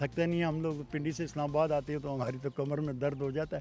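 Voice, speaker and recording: Music plays in the background. Over it, a man talks with a fairly high pitch. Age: 70s. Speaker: motorcycle traveller. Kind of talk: interview answer.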